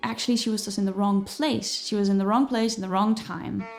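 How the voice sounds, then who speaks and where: A woman with a Dutch accent at a fairly quick pace, with music in the background. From Netherlands. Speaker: musician and singer. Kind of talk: vlog talk to camera. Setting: filming with lights and microphones.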